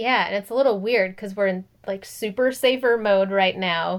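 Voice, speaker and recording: A woman with an American accent speaks at a medium pitch and a moderate pace in an unremarkable speaking voice, captured in a very clean recording with a silent background. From US Midwest, Minnesota. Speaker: podcast co-host. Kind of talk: casual chat.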